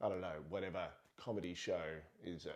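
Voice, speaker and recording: A man's dark, mellow tone at a moderate pace. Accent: Australian. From Australia. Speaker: parenting vlogger. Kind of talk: casual monologue.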